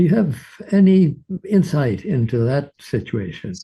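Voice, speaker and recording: With a dark, mellow tone and lively intonation, a man speaks at a fairly high pitch and fairly slow pace against a quiet background. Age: 90s. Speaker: audience member with hearing loss. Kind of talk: question from audience. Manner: halting.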